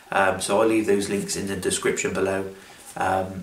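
In a room with audible echo, a man speaks at a fairly quick pace and a fairly low pitch. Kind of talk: casual vlog chat. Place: home room.

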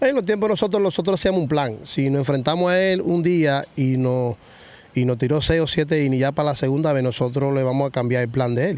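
The sound is dry, with no echo. A man talks at a fairly quick pace with a fairly high pitch and ordinary pitch variation. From Dominican Republic, Villa Vásquez (Cibao). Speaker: retired baseball player. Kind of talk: interview. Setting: baseball stadium field. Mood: relaxed storytelling, animated. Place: stadium. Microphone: studio mic.

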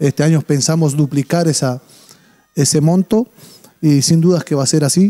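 A man speaks at a fairly high pitch and a moderate pace, with ordinary pitch variation and very even loudness. His tone is dark and mellow, and the background is quiet. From Uruguay. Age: 40s. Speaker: charity organizer; interview guest. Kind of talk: TV interview. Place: studio. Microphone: handheld.

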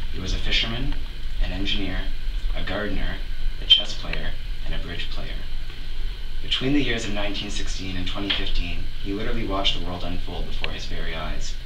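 Against loud background noise, a man talks at a moderate pace, broken by long, frequent pauses. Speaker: grandchild giving a eulogy. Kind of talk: funeral eulogy, composed and read from a prepared text. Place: church. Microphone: camera far.

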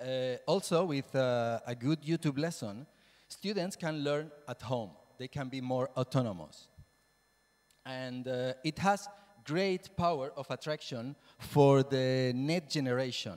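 At a fairly slow pace, a man with a Spanish accent speaks at a medium pitch in a slightly mellow tone with ordinary pitch variation.

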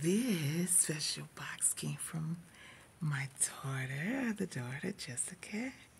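Breathing somewhat breathily, a woman speaks at a very slow pace and a very deep, low pitch. Her pitch swings very widely over light background noise. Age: 50s. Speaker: vlogger. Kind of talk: casual video vlog. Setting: office. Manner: animated. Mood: joyful, celebratory. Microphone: earbuds.

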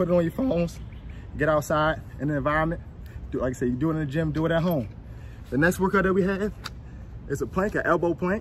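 Against light background noise, a man with a high pitch talks at a very fast pace with ordinary pitch variation. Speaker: fitness trainer. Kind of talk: workout instruction. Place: open country. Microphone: phone near.

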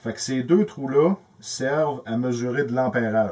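A man with a Quebec accent speaks fairly slowly, his pitch varying in an ordinary way. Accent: Québécois French. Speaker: electrical tutorial youtuber; presenter. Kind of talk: tutorial. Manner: casual, halting with repetitions. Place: workshop.

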